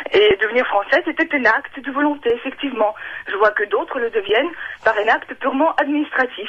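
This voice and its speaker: With lively intonation, a woman speaks at a fairly quick pace. Noticeable background noise can be heard. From Ukraine or Russia. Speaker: radio caller. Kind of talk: radio call-in testimony. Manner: halting, many hesitations.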